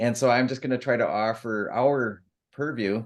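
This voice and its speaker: A soft-spoken man talks at a moderate pace with fairly even intonation. His pitch is medium and the background is quiet. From US Midwest, Michigan (Grand Rapids). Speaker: author. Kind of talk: group video call introduction.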